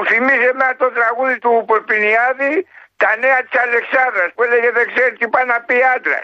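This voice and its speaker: The delivery is monotone with flat intonation and very even loudness. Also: man. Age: 70s. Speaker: army veteran. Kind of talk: phone-in call.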